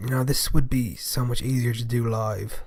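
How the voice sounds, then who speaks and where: A somewhat breathy man at a fairly slow pace, with monotone, flat intonation. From Europe, not England or Scotland. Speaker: podcast host. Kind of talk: casual monologue podcast.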